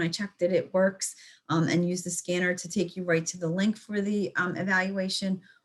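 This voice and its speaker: At a moderate pace, a woman with a somewhat breathy, medium-pitched voice speaks with fairly even intonation. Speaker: extension educator. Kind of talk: lecture. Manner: stuttering.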